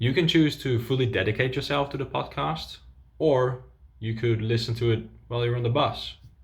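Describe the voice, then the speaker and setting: A man with a Dutch accent speaks with vocal fry. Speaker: language coach. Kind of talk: tutorial.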